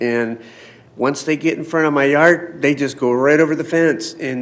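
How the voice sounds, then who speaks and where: Noticeable background noise accompanies a man who speaks at a moderate pace, his fairly high voice keeping a fairly even intonation. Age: 60s. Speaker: public commenter. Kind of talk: public comment at council meeting.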